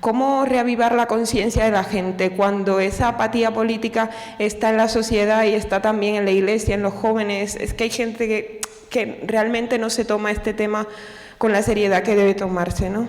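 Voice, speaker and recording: Speaking at a moderate pace with flat, monotone intonation and very even loudness, a woman with a fairly high pitch is heard over noticeable background noise and audible room echo. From Cuba. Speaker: audience member asking a question. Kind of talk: audience question. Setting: lecture hall with audience.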